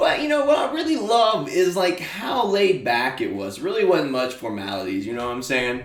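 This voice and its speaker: A man talks with an American accent, hardly pausing at all. Noticeable background noise and audible room echo fill the recording. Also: moderate pace. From small-town Alabama. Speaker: podcast host. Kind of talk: casual monologue. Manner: casual, filler-heavy.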